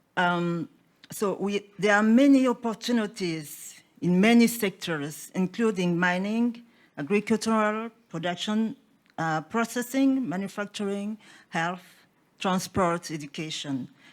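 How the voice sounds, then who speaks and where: A non-native accent with ordinary pitch variation on a very clean recording with a silent background. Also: woman, medium pitch for a woman. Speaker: business delegate. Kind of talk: conference presentation. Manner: halting, many fillers.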